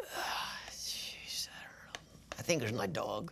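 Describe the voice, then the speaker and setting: A raspy, put-on character voice delivers its lines at a fairly slow pace over light background noise. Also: man. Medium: puppet. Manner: sassy, grumpy.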